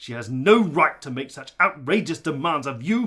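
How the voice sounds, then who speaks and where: A man puts on a character voice at a fairly high pitch, with very wide pitch swings. He moves at a moderate pace, and his loudness swings a lot. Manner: angry, contemptuous.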